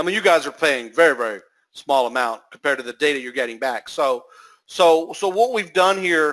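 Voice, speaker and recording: Here a man speaks with a fairly high pitch and a bright, sharp tone. His intonation is lively. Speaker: SEO software entrepreneur. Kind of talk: webinar sales pitch. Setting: webinar call. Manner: animated.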